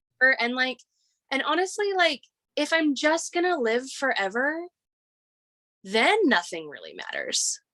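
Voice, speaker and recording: Raised and projected, a woman's high, bright, sharp voice swings very widely in pitch at a moderate pace, broken by long, frequent pauses. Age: 30s. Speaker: guest sharing personal experiences. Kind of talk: casual conversation.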